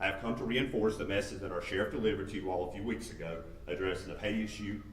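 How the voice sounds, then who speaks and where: A man's very deep, low voice at a very fast pace, with audible room echo and noticeable background noise. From Macomb County. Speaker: sheriff's deputy. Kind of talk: public comment speech. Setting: council meeting. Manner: loud.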